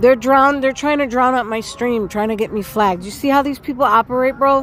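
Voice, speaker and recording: Loud and high-pitched, a woman speaks at a fairly quick pace in an American accent. Her intonation stays fairly even over music in the background. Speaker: livestreamer. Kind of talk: live street stream commentary. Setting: outdoors, music playing nearby.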